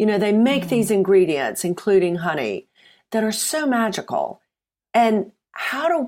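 Speaking with an American accent at a moderate pace, a woman uses lively intonation on a very clean recording with a silent background. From US South, Mississippi. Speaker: supplements company founder. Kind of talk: casual chat.

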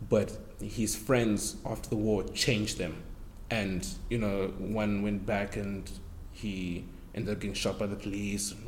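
A man's fairly low voice with a South African accent, vocal fry, a flat monotone, and a fairly slow pace. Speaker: actor. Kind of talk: casual chat.

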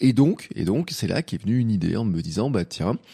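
Man's voice, dark and mellow, with lively intonation at a moderate pace, dry and close with no echo in a very clean recording with a silent background. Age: 40s. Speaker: podcaster, amateur cyclist. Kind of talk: solo podcast monologue. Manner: casual, hesitant with fillers.

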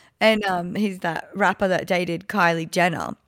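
On a very clean recording with a silent background, a woman speaks at a moderate pace with an Australian accent. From Gold Coast, Australia. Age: 30s. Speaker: podcast host. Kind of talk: casual chat.

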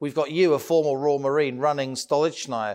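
This man has a fairly high-pitched voice. The recording is very clean, with a silent background. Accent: British. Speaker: podcast host and business journalist. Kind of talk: interview.

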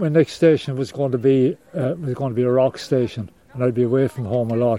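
A man with a Cork accent speaks at a moderate pace and fairly even intonation over noticeable background noise. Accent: Cork Irish. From Ireland, Cork. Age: 70s. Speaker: retired lighthouse keeper and charity fundraiser. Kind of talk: interview, personal storytelling. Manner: halting.

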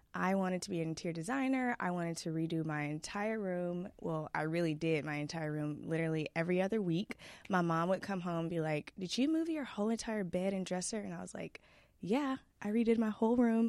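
A woman with an American accent speaks fairly quickly at a fairly low pitch, with ordinary pitch variation. She has a plain, everyday voice, and the background is quiet. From Texas (Dallas area). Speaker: influencer. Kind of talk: interview conversation.

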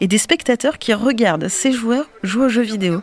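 A woman at a moderate pace with lively intonation over noticeable background noise. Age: 20s. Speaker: podcast host. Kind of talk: scripted narration.

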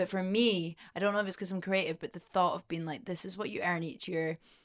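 A woman speaks very fast in a fairly low voice. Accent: Scottish. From Scotland, Edinburgh. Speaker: singer-songwriter. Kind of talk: casual chat. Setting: studio. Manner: animated.

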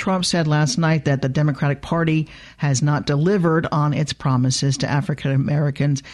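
A woman with a very deep, low pitch, a fairly quick pace and very even loudness. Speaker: radio host. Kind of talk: radio news magazine hosting. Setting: studio.

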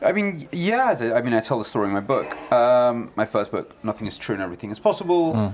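Here a man talks with a London accent at a very fast pace. His pitch swings very widely. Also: medium pitch for a man. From London, England. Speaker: journalist and author. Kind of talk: interview.

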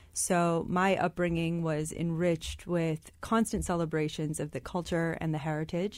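A woman with an American accent has a plain, everyday voice and a fairly low pitch. She talks at a moderate pace with fairly even intonation and hardly any pauses, on a very clean recording with a silent background. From US Midwest, Michigan. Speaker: startup co-founder and business school student. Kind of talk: radio interview. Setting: studio.

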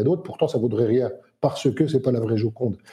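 A dark, mellow tone, somewhat breathy, at a fairly quick pace. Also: man. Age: 50s. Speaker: entrepreneur and crypto investor. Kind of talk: casual chat.

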